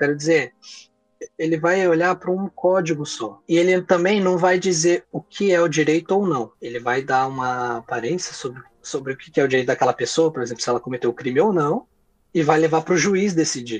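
This man has an unremarkable speaking voice with a fairly high pitch. He talks at a fairly quick pace with ordinary pitch variation. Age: 20s. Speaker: lawyer. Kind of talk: interview.

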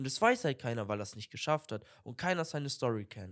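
A man speaks at a moderate pace, his pitch swinging very widely. The recording is very clean, with a silent background. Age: young. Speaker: podcast co-host. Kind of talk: casual chat. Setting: video podcast recording.

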